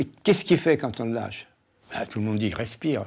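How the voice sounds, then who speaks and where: Against a quiet background, the voice has a dark, mellow tone, moves at a fairly quick pace, and swings very widely in pitch. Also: man. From France, Paris. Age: 90s. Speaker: retired doctor, Holocaust survivor. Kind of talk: testimony. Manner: halting, with hesitations.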